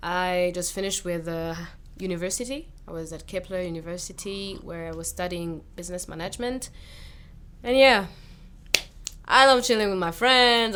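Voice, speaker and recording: Audible room echo surrounds a woman of medium pitch whose bright, sharp tone moves at a moderate pace with ordinary pitch variation and big swings in loudness. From Rwanda. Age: 20s. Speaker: singer. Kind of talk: casual chat. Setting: studio.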